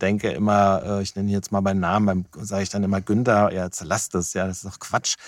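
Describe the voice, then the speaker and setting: In a very clean recording with a silent background and a dry, close sound with no echo, a man speaks at a fairly low pitch with monotone, flat intonation. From Germany, Wiesbaden. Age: 50s. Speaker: business consultant. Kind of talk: interview conversation. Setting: small recording box. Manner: hesitant with fillers.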